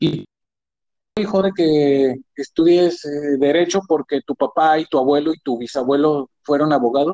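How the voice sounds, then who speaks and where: Dark, mellow tone at a fairly slow pace, with ordinary pitch variation. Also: man, fairly high pitch for a man. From Mexico, Guadalajara. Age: 40s. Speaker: office worker. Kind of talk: casual chat.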